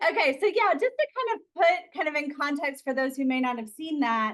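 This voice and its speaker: Very wide pitch swings in an Alabama accent. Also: woman. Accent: Alabama Southern. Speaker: occupational therapist. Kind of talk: interview.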